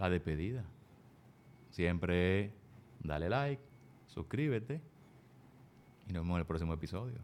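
Using a very deep, low pitch and lively intonation, a man talks at a moderate pace with long, frequent pauses. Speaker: podcast host. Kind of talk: casual interview.

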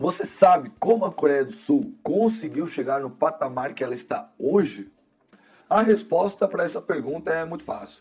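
Music plays behind a man with an animated tone. His voice sits high for a man and swings very widely in pitch. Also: moderate pace. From Brazil. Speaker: podcast host and graduate student. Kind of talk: solo podcast episode, scripted narration.

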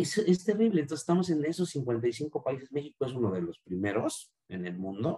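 A somewhat breathy male voice, fairly high in pitch, with very wide pitch swings at a moderate pace. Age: 40s. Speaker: marketing director. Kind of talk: interview. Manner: halting, many repetitions.

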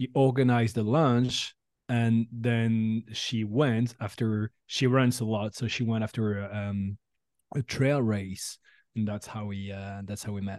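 Speaking fairly slowly with a French accent, a man uses a medium pitch and fairly even intonation in a dry, close sound with no echo. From France. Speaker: recruitment tech startup founder. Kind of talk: interview.

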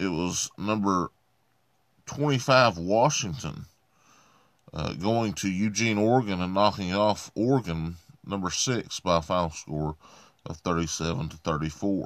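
In a very clean recording with a silent background, a man with an Appalachian accent speaks at a fairly slow pace with long, frequent pauses, his very deep, low voice showing ordinary pitch variation. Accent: Appalachian US Southern. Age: 30s. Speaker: podcast host. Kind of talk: sports results reading; solo podcast monologue.

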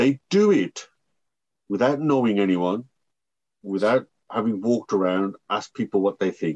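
In a dry, close sound with no echo, a man's fairly low voice moves through very wide pitch swings. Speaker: podcast host. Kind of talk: interview intro and conversation.

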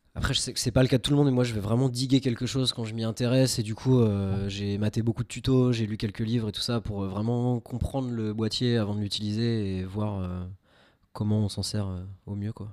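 A man at a medium pitch, fairly quick in pace and fairly even in intonation, on a very clean recording with a silent background. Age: 20s. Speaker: web developer and amateur film photographer. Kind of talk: casual chat. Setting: home studio.

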